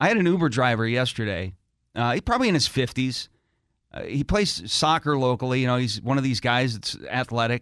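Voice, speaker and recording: A man's unremarkable speaking voice, medium in pitch, fairly quick, with lively intonation, on a very clean recording against a silent background. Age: 50s. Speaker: morning radio host. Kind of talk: morning radio banter.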